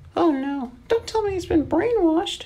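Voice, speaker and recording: An extremely high, squeaky put-on character voice talks at a moderate pace. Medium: read story.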